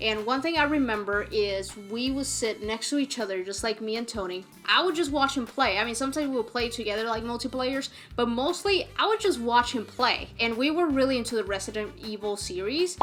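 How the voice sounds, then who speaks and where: Over music in the background, a woman with a fairly high voice and a slight Puerto Rican accent talks at a fairly quick pace with hardly any pauses. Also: lively intonation. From Puerto Rico. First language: Spanish. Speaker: gaming youtuber. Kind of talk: casual chat. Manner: casual, with fillers and restarts.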